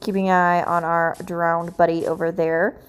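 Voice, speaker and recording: A woman speaks quietly at a medium pitch. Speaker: gaming YouTuber. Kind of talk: gameplay commentary. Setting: at home, late at night. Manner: quiet, hushed.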